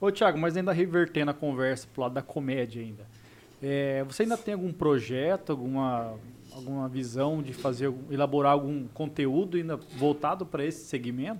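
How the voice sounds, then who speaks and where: With an ordinary speaking voice, a man talks at a fairly quick pace and a fairly high pitch, showing ordinary pitch variation. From Mato Grosso do Sul. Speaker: podcast co-host. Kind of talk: casual chat.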